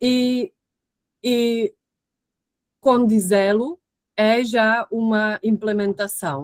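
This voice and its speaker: A woman with a European Portuguese accent speaks at a fairly high pitch with fairly even intonation, in a dry, close recording with no echo. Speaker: researcher. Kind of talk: lecture. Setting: video call. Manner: halting.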